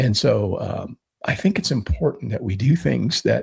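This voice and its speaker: A man's vocal fry at a fairly slow pace. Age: 60s. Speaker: podcast co-host, homesteader. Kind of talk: casual chat. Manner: halting, with repetitions.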